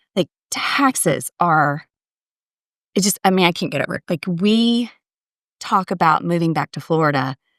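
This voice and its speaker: Speaking with a slight Texas accent, a woman with a fairly low pitch keeps a moderate pace and lively intonation, with long, frequent pauses, on a very clean recording with a silent background and a dry, close sound with no echo. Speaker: podcast guest. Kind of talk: casual chat.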